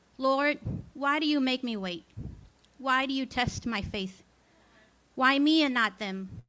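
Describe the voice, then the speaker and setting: A woman with a high, bright, sharp voice projects it loudly at a fairly slow pace, with ordinary pitch variation and long, frequent pauses. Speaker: open mic poet. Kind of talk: poetry reading. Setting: stage with audience.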